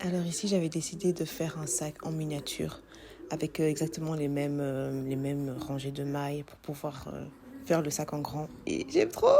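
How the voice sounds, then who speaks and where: A woman's very deep, low voice with a dark, mellow tone, fairly even intonation and moderate pace. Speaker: vlogger and bag maker. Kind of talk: casual vlog. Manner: hesitant, many fillers.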